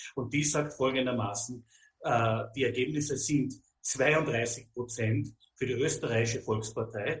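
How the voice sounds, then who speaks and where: At a fairly slow pace, a plain, everyday voice carries fairly even intonation. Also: man, medium pitch for a man. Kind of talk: interview.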